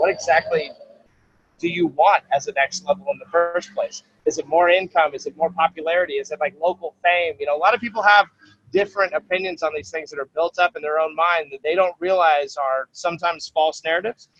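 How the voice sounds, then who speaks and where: Over music in the background, a man with a high pitch and an energetic, passionate tone talks at a fairly quick pace in a dry, close sound with no echo. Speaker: sales trainer and speaker. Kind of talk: interview answer. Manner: casual, energetic.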